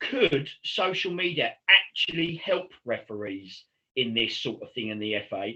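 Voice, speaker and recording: Vocal fry marks a man's voice, which sits at a fairly high pitch. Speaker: football podcast host. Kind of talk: casual chat.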